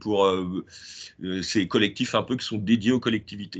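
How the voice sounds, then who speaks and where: In a quiet background, a man talks at a fairly low pitch with ordinary pitch variation. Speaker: app founder presenting his project. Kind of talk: presentation in a video meeting workshop. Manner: fast; hesitant, many filler words.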